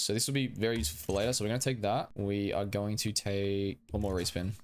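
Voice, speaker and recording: Over a silent background in a very clean recording, a man talks at a fairly quick pace with a medium pitch. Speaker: gaming youtuber. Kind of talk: gameplay commentary. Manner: fast.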